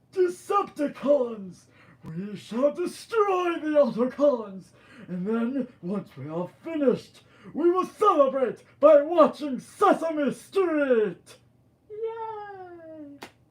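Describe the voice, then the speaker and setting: A put-on character voice with a high pitch stretches out at a very slow pace while making very wide pitch swings. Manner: menacing, then silly.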